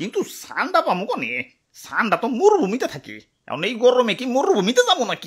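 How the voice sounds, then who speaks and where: This cartoonish character voice moves at a moderate pace, with very wide pitch swings and big swings in loudness. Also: man, extremely high pitch for a man. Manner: fretful, repeating "ore bapure".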